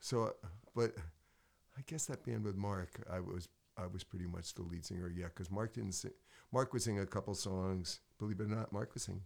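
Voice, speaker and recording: A man with an American accent has an ordinary speaking voice, fairly low in pitch with ordinary pitch variation. He talks at a moderate pace on a very clean recording with a silent background. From Connecticut. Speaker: singer, songwriter and piano player. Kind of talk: casual interview. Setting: studio.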